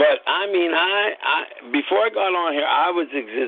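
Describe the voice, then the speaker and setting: A man speaks against noticeable background noise. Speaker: podcast host. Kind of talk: casual chat. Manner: animated.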